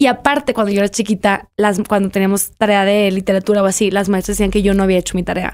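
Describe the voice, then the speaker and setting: Against a quiet background, a woman speaks at a very fast pace with hardly any pauses, very even loudness and fairly even intonation. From Mexico, Monterrey; Nuevo León, Mexico. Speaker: writer; podcast guest. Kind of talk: interview. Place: studio. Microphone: studio mic.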